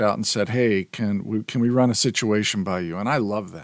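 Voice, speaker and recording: A fairly low-pitched man at a fairly quick pace, with fairly even intonation, on a very clean recording with a silent background. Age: 60s. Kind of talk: solo podcast talk. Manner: hesitant with fillers.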